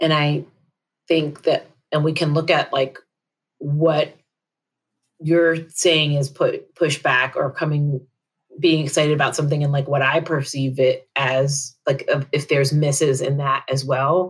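A woman with a very deep, low pitch and a somewhat breathy voice speaks fairly slowly in a monotone, flat intonation, with very even loudness and long, frequent pauses. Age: 40s. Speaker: nonprofit manager. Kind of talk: counseling session conversation.

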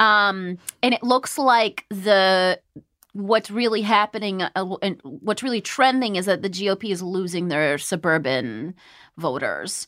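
With an American accent, a woman speaks in an unremarkable speaking voice at a medium pitch and fairly slow pace, her intonation lively, in a dry, close recording with no echo. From US (Virginia, then California). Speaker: podcast host. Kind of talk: casual chat; news reading.

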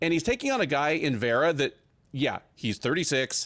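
A man's fairly high voice at a moderate pace, with very wide pitch swings, on a very clean recording with a silent background. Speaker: MMA podcast host and writer. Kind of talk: sports preview chat.

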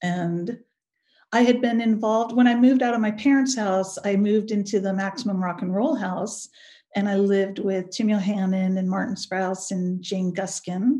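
Speaking with an American accent, a woman has a medium-pitched, dark, mellow voice that is somewhat breathy. Her pace is moderate and her intonation fairly even. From US West Coast (Pleasanton, California). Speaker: punk singer and writer. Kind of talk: interview.

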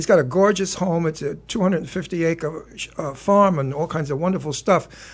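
In a New York accent, a man speaks at a high pitch with ordinary pitch variation. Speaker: television talk show host. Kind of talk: casual chat. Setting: studio. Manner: animated.

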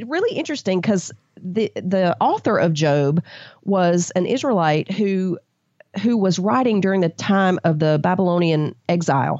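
Using an ordinary speaking voice, a woman with an American accent speaks at a moderate pace and medium pitch with lively intonation. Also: very even loudness. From US South. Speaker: Bible study author. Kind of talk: interview.

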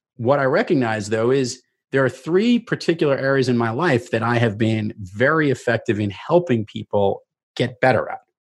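A man at a medium pitch and a moderate pace, with ordinary pitch variation, against a quiet background. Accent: New York. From New York, Queens (Rockaway Beach). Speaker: keynote speaker and sales mentor. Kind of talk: interview conversation. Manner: animated.

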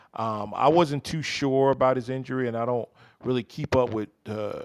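In a New York accent, a man speaks with ordinary pitch variation. The recording is very clean, with a silent background. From New York City (Bronx, Harlem) and Jersey City. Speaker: basketball coach. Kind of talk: casual chat.

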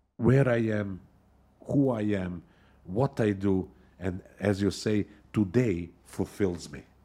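A man speaks at a very slow pace in a fairly low pitch, with long, frequent pauses. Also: ordinary pitch variation. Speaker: podcast host. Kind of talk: interview. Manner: halting, many fillers.

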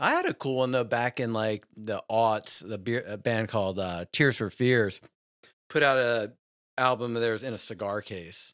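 In a dry, close sound with no echo, a man with an American accent talks at a moderate pace and medium pitch on a very clean recording with a silent background. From Virginia, Richmond. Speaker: co-host, musician and former actor. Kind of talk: casual chat. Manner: animated.

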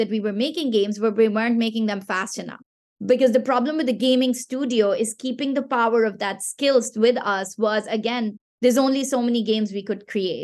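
An animated woman's voice, fairly high in pitch and fairly quick, with a Pashto accent. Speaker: gaming startup founder and CEO. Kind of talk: casual interview.

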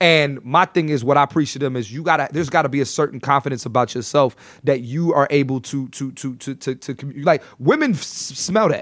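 An unremarkable speaking voice at a fairly quick pace, with hardly any pauses and ordinary pitch variation, in a very clean recording with a silent background. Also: man, fairly high pitch for a man. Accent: American. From Philadelphia, US. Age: 30s. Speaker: comedian. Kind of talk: casual chat.

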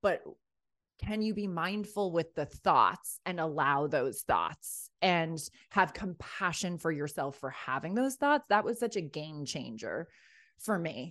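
A woman with a New York accent, a fairly low voice, lively intonation and a fairly slow pace against a quiet background. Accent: American, New York area. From US Northeast, Rye, New York. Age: 40s. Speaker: heartbreak coach. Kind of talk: podcast interview. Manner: animated.

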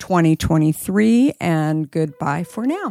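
On a very clean recording with a silent background and a dry, close sound with no echo, a woman with an American accent and an ordinary speaking voice talks at a fairly slow pace and a fairly low pitch. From Arizona. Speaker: podcast host. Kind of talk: interview conversation.

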